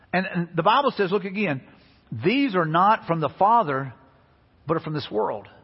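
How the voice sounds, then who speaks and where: This man speaks with a Southern US accent at a fairly quick pace. His voice sits high. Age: 50s. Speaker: pastor. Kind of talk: sermon. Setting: church. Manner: animated.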